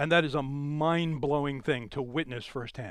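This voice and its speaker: A loud, animated man's voice against a quiet background. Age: 60s. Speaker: amateur astronomer and club speaker. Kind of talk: lecture. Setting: in-person talk with live audience.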